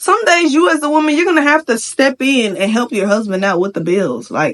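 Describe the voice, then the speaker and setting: Animated and fairly quick, a woman speaks in a high voice with very wide pitch swings. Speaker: vlogger. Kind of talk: rant. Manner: fast.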